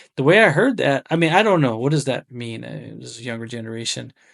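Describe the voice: A man speaks at a fast pace in a medium pitch with ordinary pitch variation. His voice is raspy with vocal fry and a fairly bright tone.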